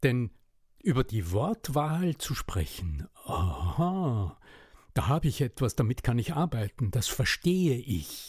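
Very slow and somewhat breathy, a man speaks at a medium pitch. His pitch swings very widely. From Upper Austria. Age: 60s. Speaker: voice and rhetoric coach. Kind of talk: interview. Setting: remote podcast recording.

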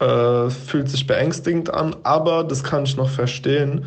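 The man's voice is medium in pitch and somewhat breathy. Audible room echo surrounds it. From Frankfurt am Main area, Germany. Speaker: student and health coach. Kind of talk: voice message monologue. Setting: WhatsApp voice message.

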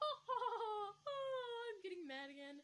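A woman uses a put-on character voice that is squeaky and extremely high-pitched. Her pitch swings very widely. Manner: angry, cartoonish.

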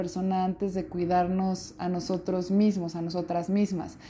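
A woman at a moderate pace. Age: 30s. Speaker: podcast host. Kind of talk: personal monologue. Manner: animated.

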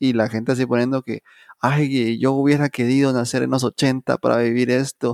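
A monotone, flat delivery at a moderate pace comes through a very clean recording with a silent background and a dry, close sound without echo. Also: man. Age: 20s. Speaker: podcast co-host. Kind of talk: casual chat.

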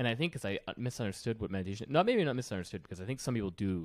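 A man's very fast delivery with lively intonation. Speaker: podcast host. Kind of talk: casual chat.

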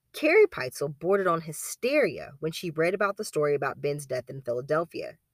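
A theatrical tone comes through at a fairly quick pace in a very clean recording with a silent background. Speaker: true crime podcast host. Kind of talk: dramatic narration of a true-crime story. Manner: measured, storyteller pacing with theatrical voices for quoted characters.

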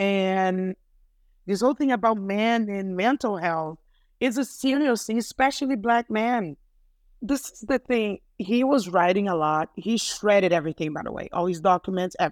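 The sound is dry and close with no echo, on a very clean recording with a silent background, delivered at a moderate pace with lively intonation. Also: woman, medium pitch for a woman. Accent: Portuguese. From Brazil (Rio de Janeiro). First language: Portuguese. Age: 50s. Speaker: guest sharing personal story of loss. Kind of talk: testimony. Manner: halting, with repetitions.

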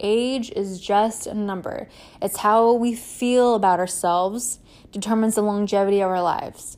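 A woman talks in an ordinary speaking voice at a medium pitch. Her pace is moderate and her intonation fairly even. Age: 30s. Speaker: podcast host. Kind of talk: motivational monologue. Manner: casual, conversational.

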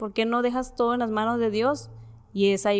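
A woman speaks at a fairly quick pace in an ordinary speaking voice. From Mexico, Ciudad Juárez. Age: 20s. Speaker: engineering student sharing a faith story. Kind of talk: testimony.

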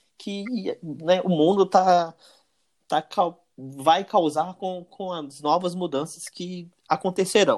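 A man with a high pitch, on a very clean recording over a silent background. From Brazil, interior of Minas Gerais. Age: 30s. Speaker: electrical engineer. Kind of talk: interview. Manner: halting, many fillers.

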